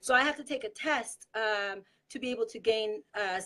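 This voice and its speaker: A woman with a Spanish accent speaks at a moderate pace and fairly high pitch, her tone bright and sharp, with ordinary pitch variation. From Mexico. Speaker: political activist. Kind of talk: casual chat.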